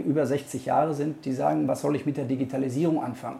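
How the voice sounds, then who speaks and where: A man talks at a moderate pace. His tone is dark and mellow and somewhat breathy. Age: 50s. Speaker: local mayoral candidate and lawyer. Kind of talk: interview answers.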